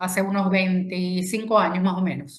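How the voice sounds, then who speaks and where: This is a woman speaking with a Venezuelan accent. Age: 60s. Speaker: feminist speaker and consultant. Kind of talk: talk to an online audience.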